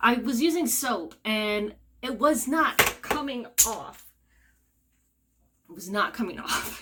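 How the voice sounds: In a room with audible echo, a woman speaks slowly at a fairly high pitch with a bright, sharp tone. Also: lively intonation.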